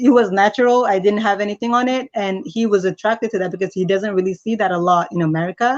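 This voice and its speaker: A woman with a slight Nigerian accent talks at a very fast pace, with hardly any pauses. Her pitch is medium. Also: ordinary pitch variation. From Nigeria, raised in US from age 11. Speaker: interview guest. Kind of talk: interview.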